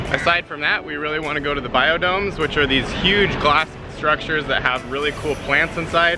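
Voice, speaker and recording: Over music in the background, a man talks at a fairly quick pace, with a dry sound and no echo. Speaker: travel vlogger. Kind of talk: casual vlog chat. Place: street. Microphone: phone near.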